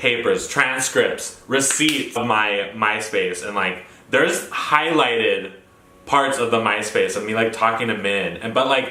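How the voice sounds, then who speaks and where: In an American accent, a man talks with an animated tone at a fairly slow pace. Noticeable background noise and audible room echo fill the recording. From New Mexico, Roswell. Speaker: vlogger. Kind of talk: personal storytelling. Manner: flamboyant.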